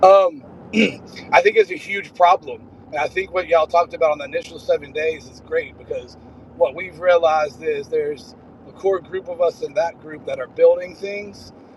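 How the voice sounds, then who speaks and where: A high-pitched man at a moderate pace against noticeable background noise. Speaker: small business owner building AI tools. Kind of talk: casual video call conversation. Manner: hesitant, many fillers.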